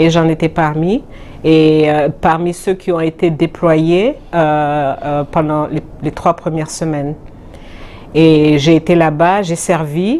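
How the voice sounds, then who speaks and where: This woman's voice sits at a very deep, low pitch with fairly even intonation. She talks at a very slow pace. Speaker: UN agency deputy director. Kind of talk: interview. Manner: hesitant, many fillers.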